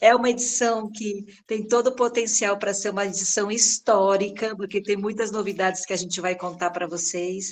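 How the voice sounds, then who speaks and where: A woman's medium-pitched voice, fairly even in intonation, at a moderate pace. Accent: São Paulo. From São Paulo, Brazil. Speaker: head of a children's agency regional office. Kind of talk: welcome speech in online meeting. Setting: video call.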